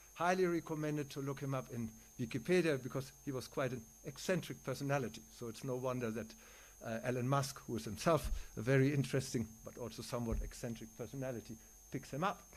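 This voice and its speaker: A man with a German accent talks at a very fast pace. His pitch is medium, with ordinary variation. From Germany. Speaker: neuroscientist and philosopher. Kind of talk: conference lecture.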